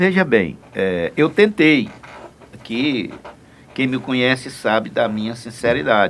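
A man speaks at a very slow pace, leaving long, frequent pauses. His medium pitch swings very widely. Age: 60s. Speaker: state deputy, politician. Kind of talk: radio interview.

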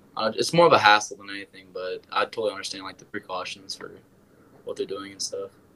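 Against noticeable background noise, a man with an American accent talks very fast, his loudness swinging widely. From Wisconsin. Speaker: musician. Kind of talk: casual interview.

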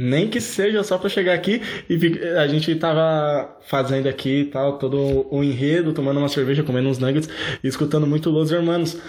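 This man's voice sits fairly high and moves at a moderate pace with ordinary pitch variation. His loudness stays very even. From Brazil, São Paulo (Osasco). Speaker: podcast host. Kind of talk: casual chat.

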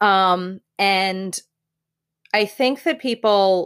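A woman's medium-pitched voice with ordinary pitch variation on a very clean recording with a silent background. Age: 40s. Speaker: engineering director. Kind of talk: casual conversation interview. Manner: loud, outgoing.

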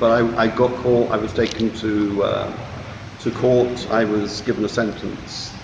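Over noticeable background noise, a man at medium pitch talks fairly slowly in a monotone, flat delivery. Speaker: English mentor. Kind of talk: role-play coaching, casual chat.

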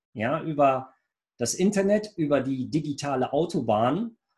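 This man's voice sits fairly high and sounds somewhat breathy. His intonation is lively. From Lower Rhine region, Germany (Rheinberg). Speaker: IT entrepreneur. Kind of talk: business interview.

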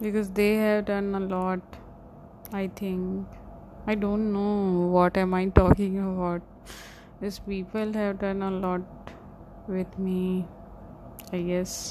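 A woman of medium pitch speaks at a very slow pace in a monotone, flat intonation. Long, frequent pauses break up her words. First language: not English. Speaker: solo podcaster. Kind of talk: personal diary monologue. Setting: sipping coffee while recording in the morning. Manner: halting.

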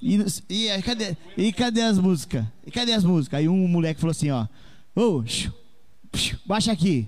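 With a high pitch, a man speaks at a moderate pace. His voice swings very widely in pitch. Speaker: regular live panelist. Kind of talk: casual chat.

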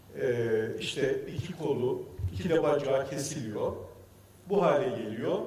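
Room echo can be heard clearly. A man speaks very slowly. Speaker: sales manager, engineer. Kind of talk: presentation.

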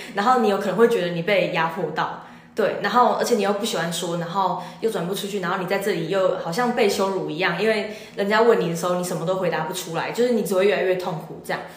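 A woman's very fast speech with fairly even intonation, audible room echo and noticeable background noise. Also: medium pitch for a woman. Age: young. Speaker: university student. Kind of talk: interview.

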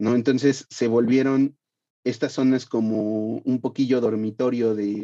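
Speaking in a monotone, flat intonation, a man has a dark, mellow tone at medium pitch. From Mexico City (Iztapalapa). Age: 30s. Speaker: podcast creator. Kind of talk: interview.

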